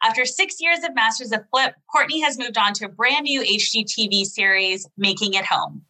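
With lively intonation and hardly any pauses, a woman talks in an ordinary speaking voice. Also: fairly high pitch for a woman, moderate pace. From Canada. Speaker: podcast host. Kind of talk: interview; scripted narration. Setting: video call.

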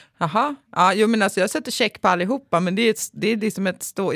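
At a fairly quick pace, a woman speaks in an ordinary speaking voice at medium pitch, on a very clean recording with a silent background. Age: 30s. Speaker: podcast co-host. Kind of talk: casual chat. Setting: studio.

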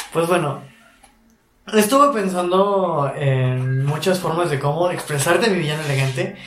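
With lively intonation and a high pitch, a man speaks at a fairly slow pace amid audible room echo. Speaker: podcast co-host. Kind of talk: casual chat.

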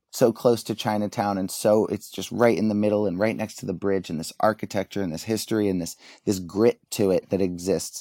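A man with an American accent talks in a fairly low pitch with fairly even intonation and hardly any pauses. The sound is dry and close with no echo, on a very clean recording against a silent background. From US, Delaware (Wilmington). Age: 30s. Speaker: founder of a travel photography account. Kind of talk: casual interview.

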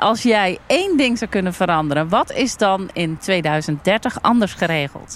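A woman's normal speaking voice, a normal speaking voice at a fairly slow pace with ordinary pitch variation. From Netherlands, North Brabant (Almkerk). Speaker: farmer and entrepreneur. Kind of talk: casual discussion. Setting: outdoors at a farm picnic table.

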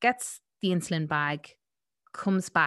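With an Irish accent, a woman speaks in a bright, sharp tone at a fairly slow pace over a quiet background. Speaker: podcast host. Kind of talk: casual chat. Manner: animated.

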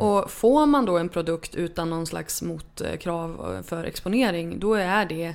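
A woman's fairly low voice with vocal fry, ordinary pitch variation and a fairly slow pace, in a very clean recording with a silent background. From northern Sweden, Örnsköldsvik. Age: 30s. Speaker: author. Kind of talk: interview.

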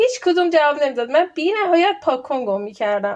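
This woman talks at a very fast pace. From Iran. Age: 30s. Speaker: PhD student. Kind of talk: interview.

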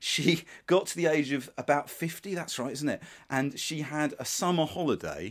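Vocal fry and ordinary pitch variation in a very clean recording with a silent background. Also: man, moderate pace. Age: 50s. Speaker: author and podcaster. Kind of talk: interview. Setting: sitting room at home. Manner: halting.

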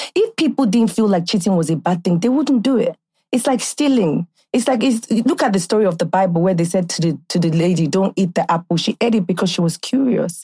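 With a Nigerian accent, a woman talks at a fairly quick pace and medium pitch, with lively intonation, a somewhat breathy, dark, mellow tone, very even loudness and a dry, close sound with no echo. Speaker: podcast host. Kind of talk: casual chat. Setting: studio. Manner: animated.

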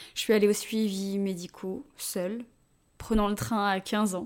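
A woman with a fairly high voice is heard on a very clean recording against a silent background. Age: 20s. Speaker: personal storyteller. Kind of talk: scripted narration.

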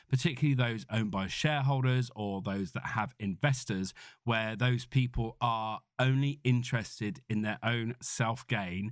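A man with a British accent at a fairly slow pace. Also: very clean recording, silent background. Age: 40s. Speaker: podcast host, entrepreneur. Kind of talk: solo podcast monologue. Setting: makeshift home office studio.

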